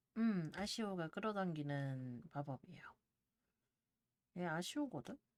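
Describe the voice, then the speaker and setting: In a calm tone, a woman speaks at a fairly slow pace, her fairly low pitch making very wide swings. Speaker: game streamer. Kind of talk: casual live-stream gameplay talk.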